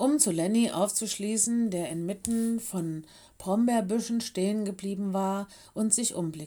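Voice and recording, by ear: The speaker is reading aloud in a natural voice with ordinary pitch variation.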